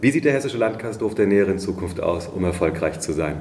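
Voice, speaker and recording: A man with a fairly low pitch talks in a room with audible echo. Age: 40s. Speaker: podcast host for hospitality association. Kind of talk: interview.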